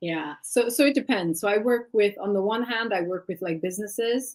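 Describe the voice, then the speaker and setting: A woman talks at a fairly quick pace. She speaks with an Eritrean accent. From Sweden, Eritrean family. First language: Tigrinya. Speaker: life and leadership coach. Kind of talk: interview.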